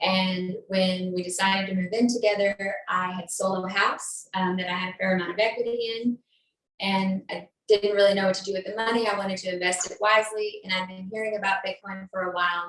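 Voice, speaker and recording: Speaking with an American accent, a woman of medium pitch talks at a fairly quick pace with monotone, flat intonation. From Texas. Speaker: bitcoin educator. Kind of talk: podcast interview.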